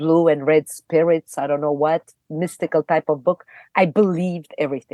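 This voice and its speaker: In a non-native accent, a woman speaks at a very deep, low pitch with a dark, mellow tone and monotone, flat intonation, at a moderate pace, with a dry, close sound with no echo and a quiet background. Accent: foreign accent, never reduced. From Romania, Bucharest. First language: Romanian. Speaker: actress. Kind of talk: podcast interview, personal storytelling.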